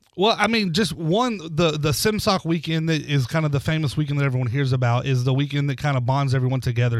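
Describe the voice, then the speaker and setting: A man speaks in a plain, everyday voice at a fairly high pitch. His pace is fairly quick, with ordinary pitch variation. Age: 30s. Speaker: pastor, civic group president. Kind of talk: radio interview. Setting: radio studio.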